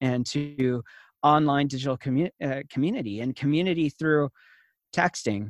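Against a quiet background, a man with an unremarkable speaking voice talks at a moderate pace with a fairly high pitch. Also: dry, close sound with no echo. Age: 30s. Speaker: innovation consultant and former church worker. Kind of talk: interview.

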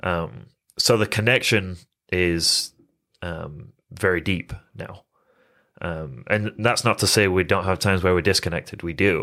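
Long, frequent pauses break up fairly slow speech in a bright, sharp tone with ordinary pitch variation, on a very clean recording with a silent background. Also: man, very deep, low pitch for a man. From England. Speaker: addiction recovery coach. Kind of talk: personal testimony in interview. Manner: halting, with fillers and restarts.

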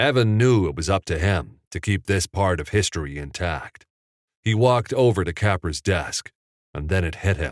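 Plain reading aloud with lively intonation is heard over a quiet background.

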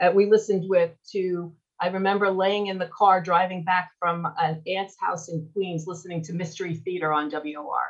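A woman with an American accent has a plain, everyday voice at medium pitch. She speaks at a moderate pace with fairly even intonation. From US Northeast, Long Island, New York. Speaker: radio market manager. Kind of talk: interview. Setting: live online audio room.

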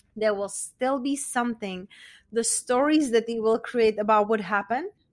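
With a Czech accent and a fairly high pitch, a woman speaks in an enthusiastic tone. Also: very clean recording, silent background. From Czech Republic. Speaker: meditation and confidence coach. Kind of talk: casual interview.

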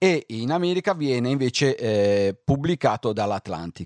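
The speaker goes at a very slow pace with very wide pitch swings, the sound dry and close with no echo against a quiet background. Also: man. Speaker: radio host. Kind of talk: radio music show. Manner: calm.

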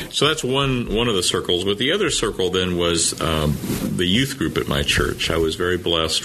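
With a Midwestern American accent, a man with a very deep, low pitch speaks in lively intonation against noticeable background noise. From Indiana (Anderson). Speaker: bishop. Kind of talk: interview conversation.

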